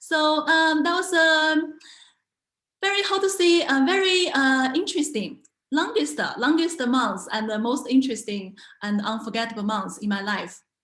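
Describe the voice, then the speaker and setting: With a bright, sharp tone and a high pitch, a woman moves through very wide pitch swings at a moderate pace, and audible room echo surrounds her voice. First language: Mandarin Chinese. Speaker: language teacher and entrepreneur. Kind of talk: online talk. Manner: halting, many fillers and repetitions.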